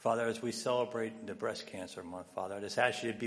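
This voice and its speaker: A man talks in a normal speaking voice at a fairly low pitch, his intonation fairly even. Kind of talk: congregational prayer. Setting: church. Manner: earnest, repeating 'Father' between phrases.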